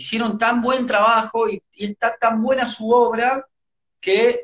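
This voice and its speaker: The speech moves at a fairly slow pace with an Argentine accent. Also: man. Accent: Argentine Spanish (Rioplatense). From Argentina. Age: 30s. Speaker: rock musician. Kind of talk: interview.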